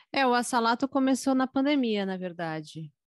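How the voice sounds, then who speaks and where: A woman with a São Paulo accent, fairly slow and lively in intonation, in a dry, close recording with no echo and a quiet background. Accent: Paulistano Brazilian Portuguese. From São Paulo, Brazil. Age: 20s. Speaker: singer and music teacher. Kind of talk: casual interview.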